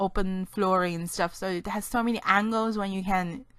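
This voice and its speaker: A woman speaks with a non-native accent. Noticeable background noise can be heard. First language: not English. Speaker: gaming YouTuber. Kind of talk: gameplay commentary. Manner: rambling, self-correcting.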